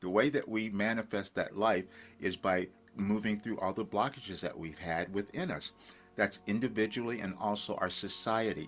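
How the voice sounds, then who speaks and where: Over music in the background, a man talks at a moderate pace in a fairly low pitch with ordinary pitch variation. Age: 70s. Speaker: spiritual coach and channeler. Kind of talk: casual talk to camera.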